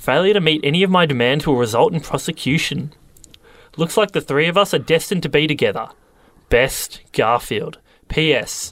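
On a very clean recording with a silent background, a man with a normal speaking voice talks at a moderate pace and fairly high pitch with ordinary pitch variation. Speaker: radio host. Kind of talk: comedy radio show banter. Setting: radio studio. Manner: bickering, irritable, hammy.

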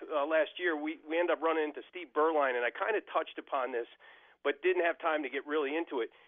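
A man talks very fast in a fairly high pitch. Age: 60s. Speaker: caller. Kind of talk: call-in sports talk.

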